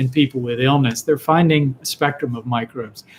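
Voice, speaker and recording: This man's voice sits at a medium pitch and is somewhat breathy. He talks at a fairly quick pace with ordinary pitch variation. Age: 60s. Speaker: physician answering viewer questions. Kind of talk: live Q&A broadcast. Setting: live online video stream. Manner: halting, frequent fillers and repetitions.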